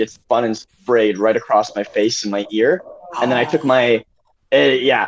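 Talking with fairly even intonation at a moderate pace, this man has an unremarkable speaking voice. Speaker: prop maker. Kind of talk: casual chat. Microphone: spotty internet connection.

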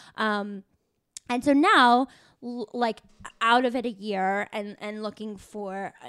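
At a fairly slow pace, a woman with a normal speaking voice talks at a medium pitch with ordinary pitch variation. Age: 20s. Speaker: podcast host. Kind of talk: casual chat. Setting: in a car.

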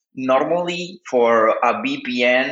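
A man of medium pitch talks with a Spanish accent and ordinary pitch variation. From Cuba. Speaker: artist and researcher. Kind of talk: interview. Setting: phone call. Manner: halting. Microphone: phone connection over VPN.

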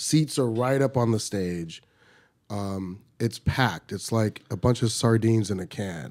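On a very clean recording with a silent background, a man with a fairly low pitch and ordinary pitch variation speaks at a fairly slow pace in an animated tone. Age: 50s. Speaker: podcast host and stand-up comedian. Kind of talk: casual chat. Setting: studio.

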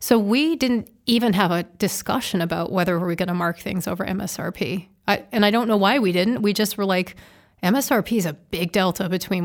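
A woman with an American accent has an ordinary speaking voice, a medium pitch and ordinary pitch variation. She talks at a fairly quick pace with hardly any pauses on a very clean recording with a silent background. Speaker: car dealership executive and public speaker. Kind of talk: interview conversation. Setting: studio.

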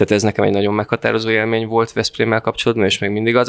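A man's voice is recorded with a dry, close sound and no echo. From north-western Hungary, Fertőszentmiklós near Sopron. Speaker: festival organizer and cultural project manager. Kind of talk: interview.

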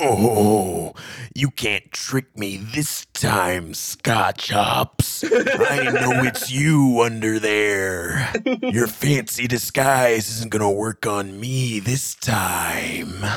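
Using a put-on character voice, a man talks at a very slow pace with a medium pitch and ordinary pitch variation. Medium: actual play. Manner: drawling, self-satisfied.

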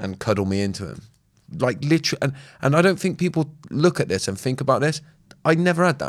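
A very fast pace broken by long, frequent pauses, vocal fry, very wide pitch swings and a southern English accent on a very clean recording with a silent background. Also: man, fairly high pitch for a man. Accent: southern English, West Country tinge. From southern England (Swindon). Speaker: podcast co-host. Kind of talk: casual chat.

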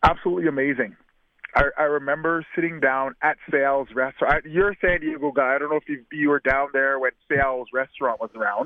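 Here a man with a Canadian accent talks at a fairly quick pace. His pitch is fairly high and his intonation fairly even. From Canada. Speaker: retired football receiver. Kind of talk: interview. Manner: halting, repeats words.

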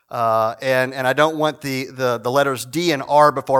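A man with an American accent speaks at a medium pitch and a fairly quick pace, his intonation fairly even. It is an ordinary speaking voice, in a very clean recording with a silent background. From Virginia, Shenandoah Valley. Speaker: guest preacher, church historian. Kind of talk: prayer; sermon. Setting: church service with congregation.

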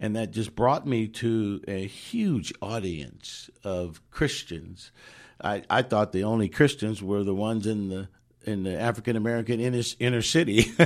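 With a normal speaking voice, a man talks at a moderate pace and a fairly low pitch with ordinary pitch variation, on a very clean recording with a silent background. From Oakland, California. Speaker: chaplain. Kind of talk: testimony. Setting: studio.

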